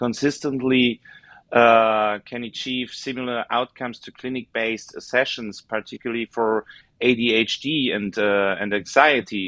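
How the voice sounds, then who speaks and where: A man speaks with a German accent at a moderate pace. His pitch varies in an ordinary way. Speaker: podcast host. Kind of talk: interview. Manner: halting.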